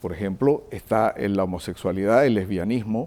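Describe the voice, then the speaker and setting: Dark and mellow in tone, a man speaks at a fairly slow pace. His pitch is fairly low with ordinary variation. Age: 60s. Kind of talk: TV interview.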